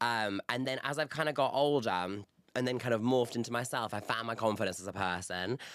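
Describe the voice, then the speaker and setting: In a Yorkshire accent, a man speaks at a fairly quick pace and medium pitch with an animated tone and ordinary pitch variation. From northern England, Bradford. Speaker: reality TV contestant. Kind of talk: casual chat.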